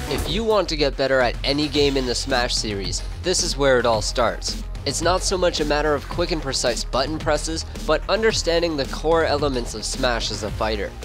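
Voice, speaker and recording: Fairly quick speech from a man, over background music. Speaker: gaming tutorial host. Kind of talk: video game tutorial narration.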